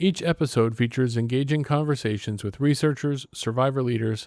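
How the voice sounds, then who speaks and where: This very clean recording, with a silent background, captures a man with an ordinary speaking voice, his pace moderate and his pitch varying in an ordinary way. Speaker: podcast host, head of communications. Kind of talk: podcast intro.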